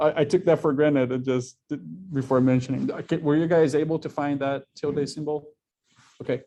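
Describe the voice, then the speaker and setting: A man with a Portuguese accent, fairly high in pitch, fairly quick, with fairly even intonation and a dark, mellow tone. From Brazil. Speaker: university instructor. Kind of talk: lecture.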